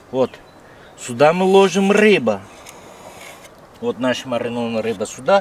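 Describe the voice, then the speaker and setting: A man talks at a fairly slow pace, his pitch swinging very widely. The sound is dry with no echo, over light background noise. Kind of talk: casual cooking tutorial. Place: open country.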